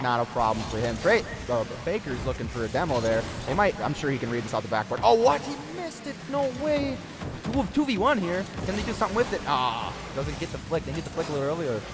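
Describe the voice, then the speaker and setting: Music plays in the background as a man talks very fast. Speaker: esports caster. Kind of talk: live commentary. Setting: livestream. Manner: animated.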